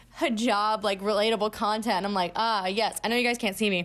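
In a very clean recording with a silent background, a woman with a normal speaking voice talks at a fairly quick pace and a fairly high pitch. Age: 20s. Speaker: podcast co-host. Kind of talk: casual chat.

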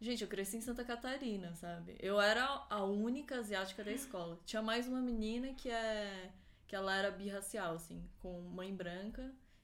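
Ordinary pitch movement at a moderate speed, in a room with audible echo. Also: woman, medium pitch for a woman. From Florianópolis, southern Brazil. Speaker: event producer, law graduate. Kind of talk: casual chat.

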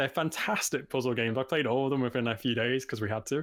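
A man talks at a very fast pace with a Liverpool accent. His pitch sits in the medium range. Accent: Scouse. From Liverpool, England. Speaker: game design student and indie developer. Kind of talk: casual chat. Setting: live stream.

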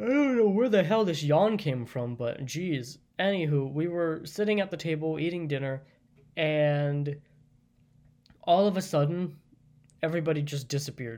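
Long, frequent pauses at a moderate pace. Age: 20s. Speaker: podcaster and fiction writer. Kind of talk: solo monologue podcast, storytelling. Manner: casual, hesitant with fillers.

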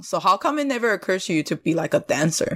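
With lively intonation, a woman speaks in a Chinese accent on a very clean recording with a silent background. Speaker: podcast co-host, mentor. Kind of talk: casual conversation.

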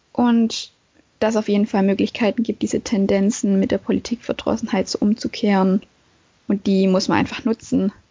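Somewhat breathy and at a medium pitch, a woman speaks in a flat monotone at a moderate pace with very even loudness. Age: young. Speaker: podcast co-host. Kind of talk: casual discussion. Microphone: no proper mic, bad connection.

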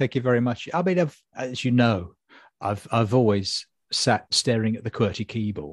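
A man's somewhat breathy, medium-pitched voice at a fairly quick pace, dry and close with no echo, against a quiet background. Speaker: comedy writer and podcast host. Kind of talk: casual chat.

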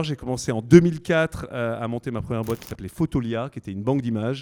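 Speaking at a fairly quick pace, a man with a dark, mellow tone and medium pitch uses ordinary pitch variation in a dry, close sound with no echo. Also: very clean recording, silent background. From southern France. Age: 40s. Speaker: entrepreneur. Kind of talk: live interview before an audience. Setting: stage with audience.

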